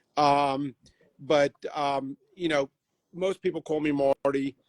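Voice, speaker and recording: With an American accent, this man talks in a fairly high pitch. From New York. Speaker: car shop owner. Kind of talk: casual livestream chat. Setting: Instagram live stream.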